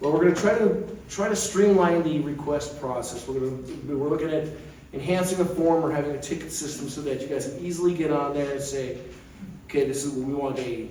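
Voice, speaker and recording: A man talks at a fairly quick pace and a fairly high pitch, with ordinary pitch variation, audible room echo and noticeable background noise. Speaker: committee member giving update. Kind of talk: meeting presentation. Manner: fast; loud.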